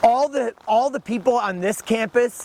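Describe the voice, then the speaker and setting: Amid noticeable background noise, a man talks at a fairly slow pace with ordinary pitch variation. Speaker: professor. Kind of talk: teach-in speech at a rally. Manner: halting.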